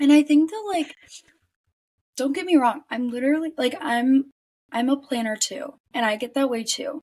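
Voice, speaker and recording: A woman's high-pitched voice with lively intonation and long, frequent pauses. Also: moderate pace. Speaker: podcast co-host. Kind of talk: casual chat. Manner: stumbling over words.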